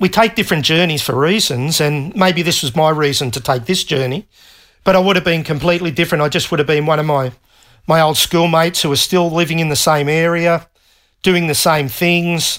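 A man with an Australian accent, fairly high-pitched, with ordinary pitch variation and a fairly quick pace, on a very clean recording with a silent background. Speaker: retired navy technician. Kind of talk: interview. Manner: halting.

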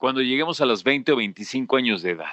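A man speaks slowly-ish, at a fairly slow pace, with a fairly high pitch, lively intonation and a bright, sharp tone. The sound is dry and close with no echo, over a quiet background. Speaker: podcast host. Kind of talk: casual monologue.

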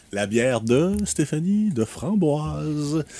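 A man's voice with very wide pitch swings, in a dry, close sound with no echo. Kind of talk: casual radio chat.

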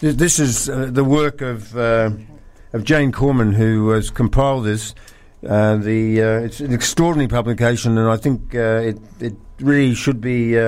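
A man speaks in a normal speaking voice at a medium pitch. His pace is fairly slow and his intonation fairly even. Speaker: radio co-presenter. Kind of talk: casual radio chat. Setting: studio.

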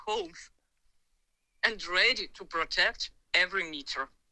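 A woman with a Ukrainian accent speaks at a fairly slow pace. Her intonation is lively. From Ukraine. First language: Ukrainian or Russian. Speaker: civilian in war zone, dog trainer. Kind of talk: phone interview testimony. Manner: halting, hesitant English.

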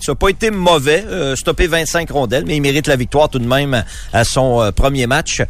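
Over noticeable background noise, a man with a medium-pitched voice speaks at a moderate pace with lively intonation. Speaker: sports reporter. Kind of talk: sports news reading.

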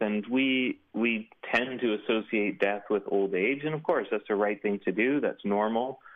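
A man speaks with a Canadian accent and an unremarkable speaking voice. His pace is moderate, with ordinary pitch variation. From Canada. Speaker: author and blogger. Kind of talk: interview.

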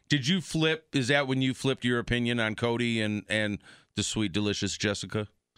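A man's fairly quick, medium-pitched delivery at very even loudness, an ordinary speaking voice. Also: ordinary pitch variation. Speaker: podcast co-host. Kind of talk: casual chat.

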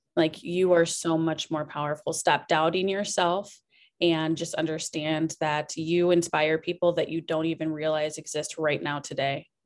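The speaker has a Midwestern US accent and a monotone, flat intonation at a moderate pace. The recording is very clean, with a silent background. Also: woman, very deep, low pitch for a woman. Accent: US Midwest. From Iowa, US Midwest (Cedar Rapids). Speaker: business consultant and restaurant co-owner. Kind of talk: interview.

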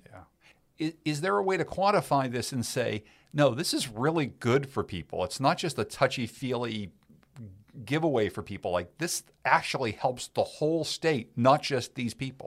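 An ordinary speaking voice from a man at medium pitch, moderate pace and lively intonation, in a very clean recording with a silent background. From Pittsburgh, Pennsylvania. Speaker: podcast co-host, journalist. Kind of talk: conversational news podcast.

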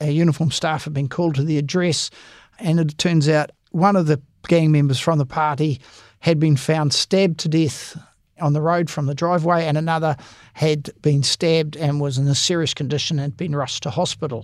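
A man talks with a New Zealand accent at a fairly quick pace. His pitch is fairly high and his intonation fairly even. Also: quiet background. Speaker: police association head, former detective. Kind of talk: interview.

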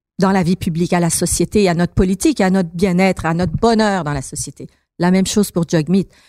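A dark, mellow tone at a moderate pace, with a dry, close sound, no echo, and a very clean recording over a silent background. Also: woman. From Montreal, Quebec (childhood), then Iran ages 8-18. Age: 50s. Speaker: political candidate. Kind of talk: interview.

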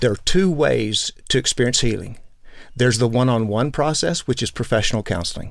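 A man with an ordinary speaking voice, medium in pitch, talks at a fairly quick pace with ordinary pitch variation on a very clean recording with a silent background. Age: 60s. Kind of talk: interview.

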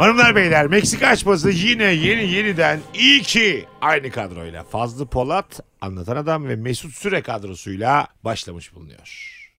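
With an animated tone, a man with a fairly high voice talks at a moderate pace, his pitch swinging very widely and his loudness rising and falling sharply. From Turkey, Bursa. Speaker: comedian. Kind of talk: casual chat.

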